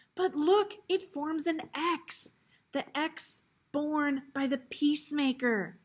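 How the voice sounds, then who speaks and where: Very slow and shaky, a female-sounding put-on character voice sits high in pitch. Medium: read story.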